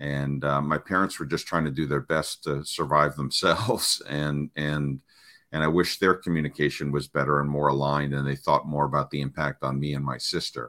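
With a very deep, low pitch, a man talks at a moderate pace in a bright, sharp tone with fairly even intonation. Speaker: parenting coach. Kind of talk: casual interview. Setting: video call.

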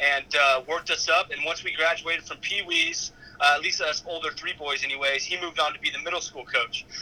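There is noticeable background noise. A man speaks with a fairly high pitch. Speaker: college football player. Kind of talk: interview.

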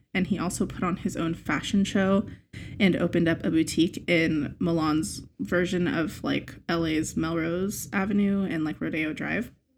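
On a very clean recording with a silent background, a woman with a fairly low pitch and vocal fry talks at a moderate pace with ordinary pitch variation. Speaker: podcast co-host. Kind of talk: casual chat.

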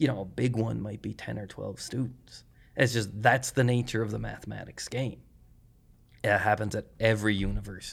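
A man talking at a fairly quick pace with a Cape Breton accent. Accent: Cape Breton Canadian English. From Cape Breton, Nova Scotia, Canada. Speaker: mathematics professor. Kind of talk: casual interview conversation.

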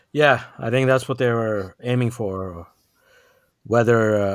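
On a very clean recording with a silent background, a man with an unremarkable speaking voice talks at a moderate pace with ordinary pitch variation. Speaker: podcast co-host. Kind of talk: casual chat.

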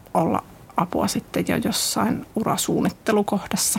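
A woman speaks over noticeable background noise. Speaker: city network manager. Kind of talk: casual interview. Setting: studio.

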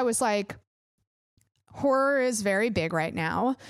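A woman speaks in an animated tone at a fairly high pitch. Her pitch swings very widely. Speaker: podcast host. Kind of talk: casual chat. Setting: home studio, recorded remotely.

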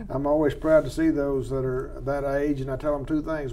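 This man talks at a fairly quick pace with an American accent. Noticeable background noise runs behind him. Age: 60s. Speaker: wildlife biologist host. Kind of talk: casual expert interview. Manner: folksy, humorous.

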